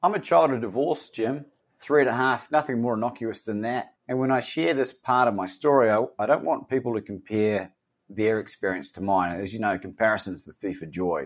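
A man speaks fairly quickly in an Australian accent, his intonation lively. The recording is very clean, with a silent background. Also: medium pitch for a man. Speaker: coach and author. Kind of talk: casual interview conversation.

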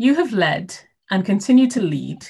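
Somewhat breathy, a woman talks at a moderate pace. Her intonation is lively. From Caribbean. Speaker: podcast host. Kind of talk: interview; scripted introduction.

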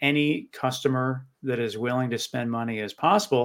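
A man's ordinary speaking voice, medium in pitch, with ordinary pitch variation and a moderate pace. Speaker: podcast host. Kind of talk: casual interview chat.

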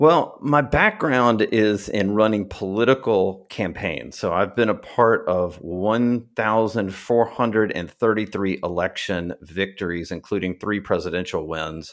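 Recorded very cleanly against a silent background, a man with a plain, everyday voice and fairly low pitch speaks at a fairly slow pace with hardly any pauses and ordinary pitch variation. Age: 40s. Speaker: marketing agency owner, former political campaign consultant. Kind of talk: interview.

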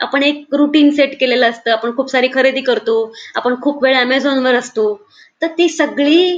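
Her voice sits at a high pitch for a woman, with fairly even intonation. The loudness stays very even throughout. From Pune, India. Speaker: psychological counsellor. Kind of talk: casual interview. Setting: recording from home.

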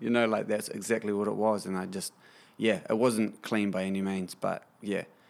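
In a very clean recording with a silent background, a man with a New Zealand accent speaks at a moderate pace. His fairly low voice stays flat and monotone. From New Zealand, Kapiti Coast. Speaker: musician. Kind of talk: casual chat.

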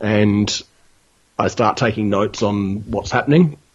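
The speaker is a man with an Australian accent. His intonation is lively. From Broken Hill, New South Wales, Australia. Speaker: novelist. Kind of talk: casual interview.

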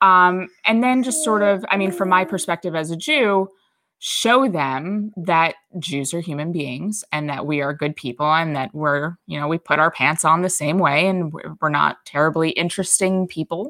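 At a moderate pace, a woman speaks in a fairly low voice with a bright, sharp tone. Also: ordinary pitch variation. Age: 30s. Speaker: conservative columnist. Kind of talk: casual interview.

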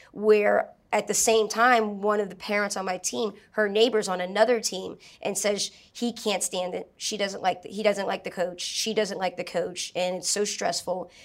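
This woman has an ordinary speaking voice at medium pitch. She talks at a moderate pace with fairly even intonation. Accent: American. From New Orleans, US South. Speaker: martial arts instructor and entrepreneur. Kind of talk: casual interview.

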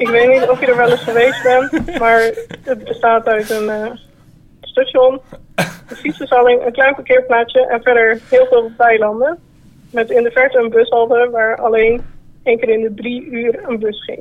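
Her voice is high-pitched, with fairly even intonation. This woman speaks at a fairly slow pace. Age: 20s. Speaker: caller. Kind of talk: telling an anecdote.

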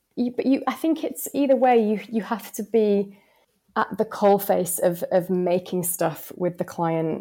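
In a Yorkshire accent, the speaker has a dark, mellow tone, ordinary pitch variation and a moderate pace. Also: woman. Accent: northern English, Yorkshire. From West Yorkshire, England. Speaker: planner. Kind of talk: casual interview chat.

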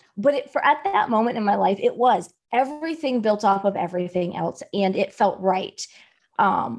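An ordinary speaking voice. The pace is fairly slow. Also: woman. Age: 40s. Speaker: business coach. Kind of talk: interview.

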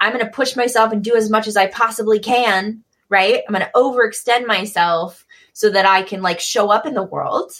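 A woman with an American accent, fairly high pitch and fairly even intonation, at a moderate pace, in an ordinary speaking voice. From US Midwest, Michigan. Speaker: multimedia artist and graphic designer. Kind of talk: casual interview.

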